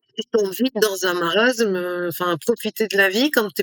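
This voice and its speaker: In an ordinary speaking voice, a woman talks at a moderate pace and fairly high pitch, with ordinary pitch variation, dry and close with no echo. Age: 60s. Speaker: entrepreneur and coach. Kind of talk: interview conversation.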